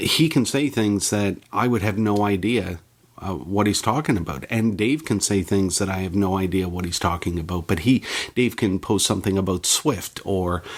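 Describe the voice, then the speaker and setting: With a Canadian accent, a man speaks in an unremarkable speaking voice, fairly low in pitch, at a moderate pace with ordinary pitch variation. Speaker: technology journalist and podcaster. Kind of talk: interview.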